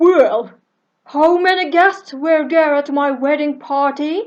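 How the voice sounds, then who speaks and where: High-pitched, fairly slowly paced put-on character voice from a woman. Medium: read story.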